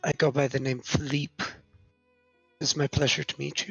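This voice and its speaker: A put-on character voice moves at a moderate pace. Faint music plays in the background. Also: man, medium pitch for a man. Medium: actual play. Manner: polite, hesitant.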